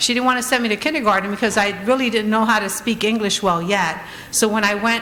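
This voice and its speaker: Amid noticeable background noise and audible room echo, a woman with an American accent speaks very fast at a fairly high pitch, her intonation fairly even. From Trenton, New Jersey, US. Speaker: honoree, business owner and community advocate. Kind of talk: award acceptance speech. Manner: halting, many fillers.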